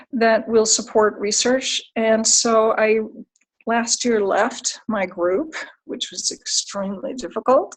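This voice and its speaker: A woman speaks with a fairly high pitch and ordinary pitch variation. She has an unremarkable speaking voice. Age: 60s. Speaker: clinical psychologist. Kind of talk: career talk.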